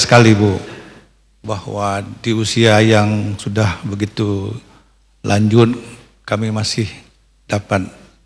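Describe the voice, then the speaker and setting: Room echo is audible as a man speaks very slowly in a fairly low, monotone, flat voice. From Aceh, Indonesia. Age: 70s. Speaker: retired civil servant, regional pensioners' association official. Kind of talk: public address to the First Lady at a televised event. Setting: palace hall event, broadcast on TV. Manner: halting, frequent fillers; formal.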